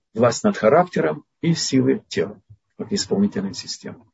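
A man speaks with a somewhat breathy voice, his pitch swinging very widely. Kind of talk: religious lecture with Q&A. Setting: online video lecture. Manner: didactic, explanatory.

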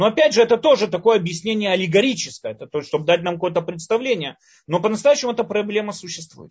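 A man's high-pitched voice with lively intonation, a very fast pace and big swings in loudness. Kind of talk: lecture.

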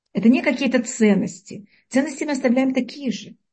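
Pitch rises and falls in a normal way. The delivery moves along fairly quickly. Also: woman. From Uzbekistan. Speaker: Torah teacher giving a weekly lesson. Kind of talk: lecture. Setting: online call with audio problems.

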